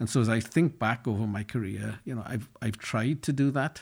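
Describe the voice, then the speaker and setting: Speaking fairly quickly with a Welsh accent, a man sounds somewhat breathy on a very clean recording with a silent background. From Wales, Llanelli. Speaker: business executive. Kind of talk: interview.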